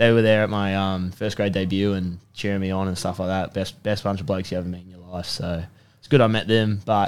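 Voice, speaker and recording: A man with an Australian accent at a fairly low pitch and a fairly quick pace, on a very clean recording with a silent background. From Sydney, Australia. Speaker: personal trainer and rugby player. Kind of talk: casual chat. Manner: animated.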